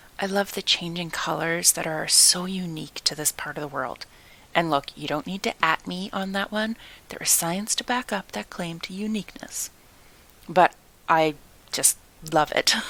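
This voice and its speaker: At a moderate pace, this is a normal speaking voice with ordinary pitch variation. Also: woman, fairly low pitch for a woman. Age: 40s. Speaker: communications strategist and podcast host. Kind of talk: podcast monologue. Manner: reflective, conversational.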